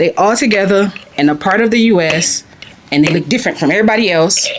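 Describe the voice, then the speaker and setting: Amid noticeable background noise, a woman at medium pitch speaks at a fairly quick pace with an animated tone and lively intonation. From US South, Louisiana. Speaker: expat family member interviewee. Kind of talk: interview conversation.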